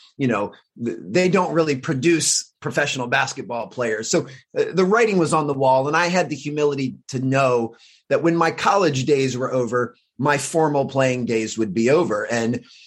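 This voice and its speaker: In an American accent, a man talks in a plain, everyday voice with a fairly high pitch, a moderate pace and ordinary pitch variation. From US, Washington DC area. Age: 40s. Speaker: high performance coach. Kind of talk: casual interview.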